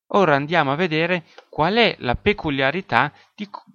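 The speaker is a man with a fairly high voice. His pitch rises and falls in very wide swings. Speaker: sports marketing podcaster. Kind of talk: solo educational podcast.

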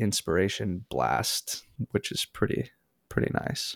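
With an American accent and vocal fry, the speaker moves at a fairly slow pace with ordinary pitch variation, in a very clean recording with a silent background and a dry, close sound with no echo. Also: man. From Minneapolis, US Midwest. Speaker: musician and producer. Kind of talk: interview.

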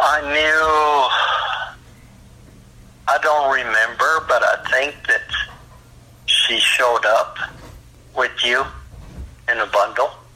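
Long, frequent pauses break up a man's very slow speech, his loudness very even, with noticeable background noise behind him. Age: 60s. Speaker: biological father on a phone call. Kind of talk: emotional phone conversation.

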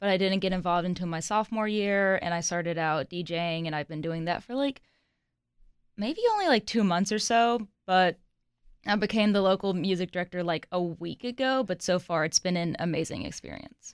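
A woman with a normal speaking voice talks at a moderate pace with medium pitch and ordinary pitch variation, in a dry, close sound with no echo. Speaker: local music director at a college radio station.

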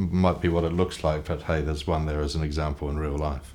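A man with a New Zealand accent talks at a very fast pace. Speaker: author and brand consultant. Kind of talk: interview.

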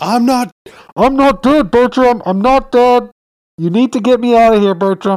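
A put-on character voice sits at a fairly high pitch. It moves along fairly slowly. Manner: pleading, urgent.

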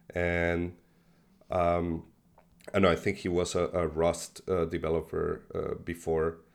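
Pausing long and often, a man with a Spanish accent speaks at a fairly slow pace in a very deep, low pitch with monotone, flat intonation. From Mexico, born in Buenos Aires, Argentina. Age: 40s. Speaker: crypto software developer and investor. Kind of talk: casual interview conversation. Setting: video call.

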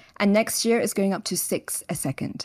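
Speaking with a London accent and ordinary pitch variation, the voice comes through on a very clean recording with a silent background. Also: woman. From London, England. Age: 30s. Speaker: biotech entrepreneur. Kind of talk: interview.

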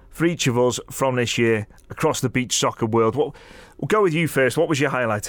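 A man with a British accent and lively intonation, in a very clean recording with a silent background. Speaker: beach soccer commentator and podcast host. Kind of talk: casual podcast chat.

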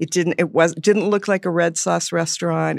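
A woman speaks with a Californian accent. The recording is very clean, with a silent background. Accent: Californian American. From Los Angeles. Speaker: radio host and former chef. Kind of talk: casual chat.

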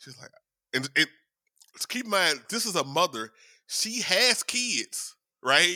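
A man with a high pitch and very wide pitch swings, bright and sharp in tone, at a fairly slow pace with long, frequent pauses, in a very clean, dry, close recording with a silent background and no echo. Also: big swings in loudness. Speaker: podcast co-host. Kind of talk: casual chat. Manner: professional-sounding.

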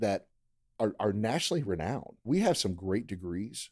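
With an American accent, a man speaks at a moderate pace in a plain, everyday voice, fairly low in pitch, on a very clean recording with a silent background. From Maryland, US. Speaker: university athletics director. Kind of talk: podcast interview.

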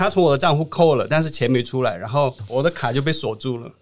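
Medium pitch and ordinary pitch variation from a man with an ordinary speaking voice. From Qingdao, Shandong, China. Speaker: travel influencer. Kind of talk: casual interview.

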